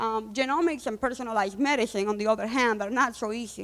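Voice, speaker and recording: With a Spanish accent, a woman talks at a fairly quick pace and ordinary pitch variation. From Cuba. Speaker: data scientist and company founder. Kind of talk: conference talk.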